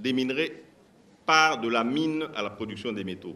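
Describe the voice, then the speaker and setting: A man with a bright, sharp tone and vocal fry speaks fairly slowly with lively intonation. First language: a Congolese language (speaking French). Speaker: mining company executive. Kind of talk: panel discussion answers.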